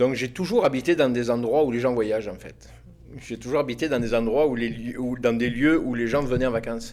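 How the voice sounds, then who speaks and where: A man holds a medium pitch and fairly even intonation while talking at a fairly quick pace. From southern France, Alpes-Maritimes (Côte d'Azur). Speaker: podcast guest, former cook and university lecturer. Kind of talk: casual interview chat. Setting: recording with small live audience. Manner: hesitant, many fillers and repetitions.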